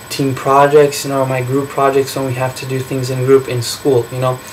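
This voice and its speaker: There is noticeable background noise behind a man's voice. He has a fairly high pitch and speaks with a Portuguese accent. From Brazil. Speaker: college student. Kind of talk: class speech. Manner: halting, many fillers.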